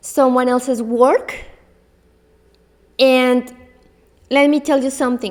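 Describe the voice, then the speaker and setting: Speaking at a fairly slow pace in a non-native accent, a woman with a high pitch keeps a monotone, flat intonation. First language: not English. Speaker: belly dance teacher. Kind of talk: solo podcast talk. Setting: in front of a camera. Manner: halting.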